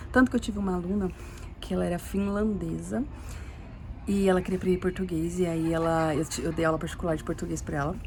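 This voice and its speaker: A woman with a fairly low, somewhat breathy voice and ordinary pitch variation speaks at a very fast pace broken by long, frequent pauses. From Brazil. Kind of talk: casual testimony monologue. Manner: halting, repetitive.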